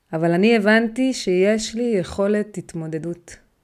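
A woman's medium-pitched voice at a very slow pace, with ordinary pitch variation, in a very clean recording with a silent background. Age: 30s. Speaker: weight-loss and healthy lifestyle mentor. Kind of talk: motivational podcast monologue.

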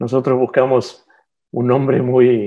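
A man speaks at a fairly quick pace with medium pitch. He has a normal speaking voice. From Argentina (La Plata), born in Barcelona. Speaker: publisher and engineer. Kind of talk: interview.

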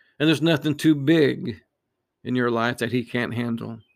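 The recording is very clean with a silent background, and the talking proceeds at a moderate speed. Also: man. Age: 60s. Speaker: podcast host giving devotional talk. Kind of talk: devotional talk. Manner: halting, frequent fillers.

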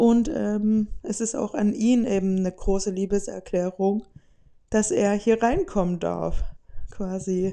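A woman speaks very slowly at a medium pitch. Her tone is dark and mellow, with ordinary pitch variation. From Saxony, Saxon Switzerland. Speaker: podcast host. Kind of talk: casual monologue.

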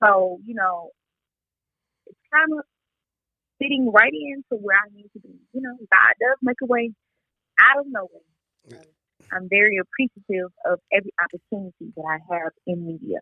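A woman's fairly high voice in a Southern US accent, lively in intonation, at a moderate pace, with big swings in loudness and long, frequent pauses. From Mississippi. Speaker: radio co-host and entertainment reporter. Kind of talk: casual interview.

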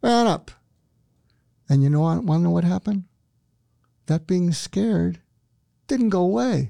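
This man's tone is calm and soothing, at very even loudness. He leaves long, frequent pauses. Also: moderate pace. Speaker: psychiatrist and author. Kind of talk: casual interview. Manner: calm, soothing.

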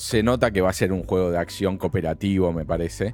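Over noticeable background noise, a man with a Rioplatense accent talks at a fairly quick pace. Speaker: video game podcast co-host. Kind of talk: casual chat.

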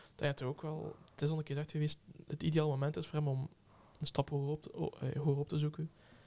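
A man's fairly high voice has a dark, mellow tone and sounds somewhat breathy. His intonation is monotone and flat. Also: fairly quick pace. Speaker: podcast co-host. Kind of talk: casual chat.

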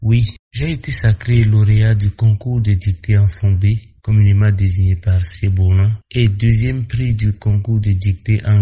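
The speaker has a Beninese accent and a somewhat breathy voice at a very slow pace. There are hardly any pauses, and the intonation is fairly even. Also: man. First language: Fon (speaking French). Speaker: court officer. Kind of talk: radio interview. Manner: formal.

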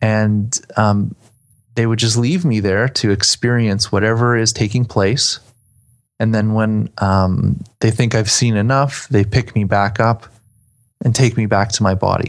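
An unremarkable speaking voice proceeds at a fairly slow pace with fairly even intonation and very even loudness against a quiet background. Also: man, fairly low pitch for a man. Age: 30s. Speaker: astral traveler. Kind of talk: interview.

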